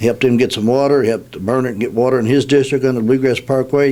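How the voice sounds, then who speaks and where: Talking at a very fast pace in a Kentucky accent, a man keeps a monotone, flat intonation. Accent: Kentucky (US South). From Kentucky, Nelson County. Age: 60s. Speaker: political candidate. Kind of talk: radio interview. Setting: radio studio. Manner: halting, many fillers.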